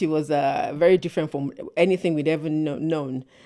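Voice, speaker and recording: A woman speaks at a fairly quick pace in a dark, mellow tone and a fairly low pitch, with ordinary pitch variation on a very clean recording against a silent background. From Nigeria. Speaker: church member. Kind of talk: podcast interview. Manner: hesitant with repetitions.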